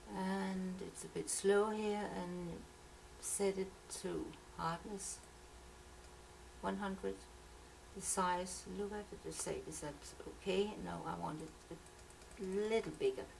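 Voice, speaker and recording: Audible room echo surrounds a woman who talks at a very slow pace with long, frequent pauses. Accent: Danish. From Denmark. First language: Danish. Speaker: software tutorial maker. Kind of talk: tutorial. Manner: halting.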